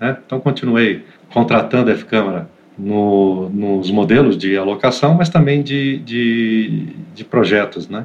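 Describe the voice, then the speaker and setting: This man speaks at a very slow pace. His pitch sits in the medium range. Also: ordinary pitch variation. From Santos, São Paulo state, Brazil. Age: 40s. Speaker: IT operations manager. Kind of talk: interview conversation. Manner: hesitant, many fillers and repetitions.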